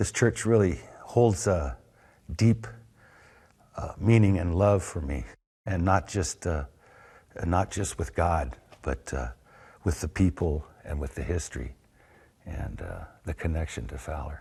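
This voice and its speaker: With an American accent, a speaker uses vocal fry and a dark, mellow tone, lively intonation and a fairly slow pace, with long, frequent pauses over a quiet background. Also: man, very deep, low pitch for a man. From California, US. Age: 60s. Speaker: longtime local resident. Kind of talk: interview, personal storytelling. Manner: halting, many fillers.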